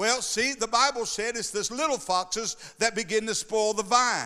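The voice is raised and projected, with a bright, sharp tone. It moves at a fairly slow pace with ordinary pitch variation. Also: man. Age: 60s. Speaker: pastor. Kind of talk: sermon. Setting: church. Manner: animated.

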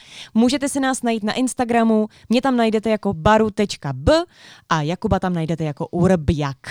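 A normal speaking voice from a woman, fairly high in pitch, lively in intonation and fairly quick in pace, on a very clean recording with a silent background and a dry, close sound with no echo. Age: 20s. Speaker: podcast co-host. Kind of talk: casual chat.

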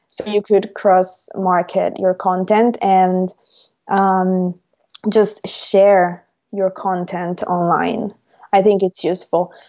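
A woman with an Italian accent talks at a medium pitch and a very slow pace. Her intonation is monotone and flat. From Italy, Rome. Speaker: language teacher and YouTuber. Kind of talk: interview. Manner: hesitant, many fillers.

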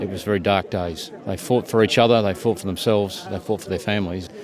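Amid noticeable background noise, a man with an Australian accent and a fairly low pitch talks at a very fast pace with fairly even intonation. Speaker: military officer. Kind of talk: interview reflection.

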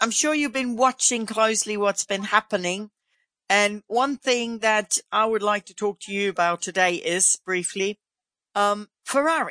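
In a German accent, a woman speaks fairly slowly at a fairly high pitch, in a dry, close sound with no echo and a quiet background. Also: ordinary pitch variation. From Germany. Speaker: motorsport podcast host. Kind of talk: casual interview.

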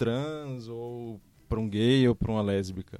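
Using a normal speaking voice, a man talks at a moderate pace with medium pitch and ordinary pitch variation. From Fortaleza, Ceará, Northeast Brazil. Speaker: designer. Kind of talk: casual chat. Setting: studio.

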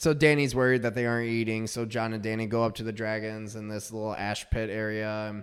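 A man's flat, monotone delivery at medium pitch, with an American accent and hardly any pauses. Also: fairly quick pace. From northern Michigan. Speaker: tax accountant. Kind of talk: casual chat.

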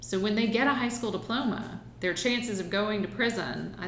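Speaking fairly quickly in an American accent, a woman uses a medium pitch with ordinary variation, and noticeable background noise can be heard. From US South, Aiken, South Carolina. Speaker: political candidate. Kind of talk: interview.

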